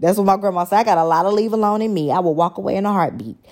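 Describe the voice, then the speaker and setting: With an American accent, a woman talks in an animated tone at a medium pitch. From Texas, Dallas. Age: 20s. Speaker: podcast host. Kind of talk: casual monologue.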